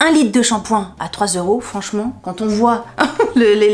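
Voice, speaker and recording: A woman talks at a fairly high pitch amid noticeable background noise. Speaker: YouTuber. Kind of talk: haul video monologue. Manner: fast; animated.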